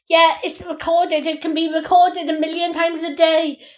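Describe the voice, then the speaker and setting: Loud and at a moderate pace, a woman speaks in an extremely high pitch with monotone, flat intonation. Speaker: crime victim recording police call. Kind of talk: heated phone argument. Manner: interrupting, agitated.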